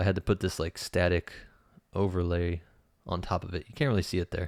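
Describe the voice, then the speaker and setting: A man's very deep, low voice with ordinary pitch variation, in a dry, close sound with no echo and a very clean recording with a silent background. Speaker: YouTuber. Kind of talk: tutorial. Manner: fast; casual.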